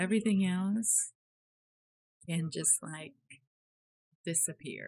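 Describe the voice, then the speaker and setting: A woman's somewhat breathy voice moves along at a fairly slow pace, its pitch rising and falling in an ordinary way. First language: not English. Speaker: 3D artist YouTuber. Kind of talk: casual chat. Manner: animated.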